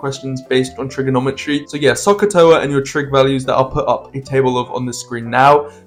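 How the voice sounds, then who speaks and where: Noticeable background noise surrounds a man who talks at a fairly quick pace and fairly high pitch with ordinary pitch variation. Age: young. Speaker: A-level student. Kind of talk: casual unscripted study-tips talk to camera.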